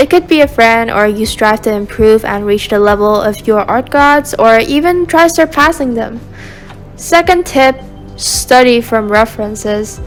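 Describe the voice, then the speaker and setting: Over music in the background, a woman speaks at a fairly slow pace with a fairly high pitch and lively intonation. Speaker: art youtuber. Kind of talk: scripted voiceover narration. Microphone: cracked sound quality.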